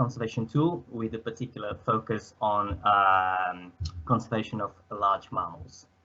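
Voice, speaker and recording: A man speaks with a Portuguese accent. His pitch varies in an ordinary way. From Portugal. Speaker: student presenter; presenter. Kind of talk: presentation. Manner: hesitant, many fillers. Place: home room.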